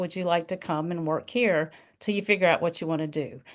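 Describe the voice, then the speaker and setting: A woman with a Southern US accent at a fairly quick pace, ordinary pitch variation, over a quiet background. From US South. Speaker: nursing professor and associate dean. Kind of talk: interview. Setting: video call. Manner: casual, conversational.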